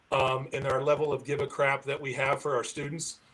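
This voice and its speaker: A man's fairly high-pitched voice at a fairly quick pace, with noticeable background noise. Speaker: professional society board leader and conference speaker. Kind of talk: live-stream interview.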